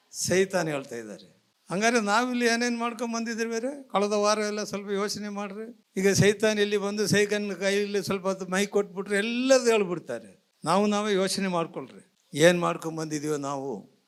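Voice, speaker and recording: With a high pitch and ordinary pitch variation, a man is speaking. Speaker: pastor. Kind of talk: sermon preached to a congregation. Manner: emphatic, exhorting, preaching.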